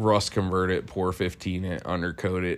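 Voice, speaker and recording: This man has a very deep, low pitch. He speaks with an American accent. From Ohio, US. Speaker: mechanic and podcast co-host. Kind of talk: casual chat.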